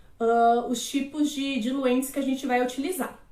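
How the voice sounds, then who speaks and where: Here a woman speaks at a high pitch. Audible room echo is present. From Florianópolis, Brazil. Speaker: aromatherapist / naturologist. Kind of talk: live-stream lecture. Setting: live stream.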